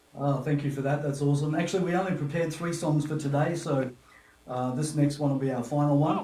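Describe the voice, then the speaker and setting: A man with a fairly high-pitched voice and fairly even intonation, with audible room echo. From Papua New Guinea. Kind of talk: casual interview chat. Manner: halting, many fillers.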